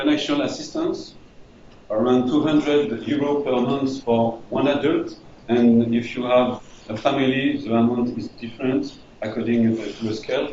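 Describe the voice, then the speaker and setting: A man with a French accent talks at a moderate pace and medium pitch with fairly even intonation. Noticeable background noise and audible room echo surround him. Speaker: refugee integration manager. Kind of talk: presentation. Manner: halting.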